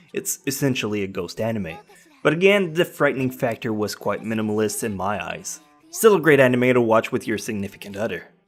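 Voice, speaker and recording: Music plays behind a man speaking at a medium pitch. He talks at a fairly quick pace with very wide pitch swings. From French Canadian. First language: French. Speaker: anime reviewer. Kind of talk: casual countdown review voiceover.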